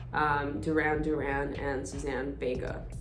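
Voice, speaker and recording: A Russian accent heard through noticeable background noise and audible room echo. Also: woman. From Estonia. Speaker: singer-songwriter. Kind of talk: casual Q&A self-introduction.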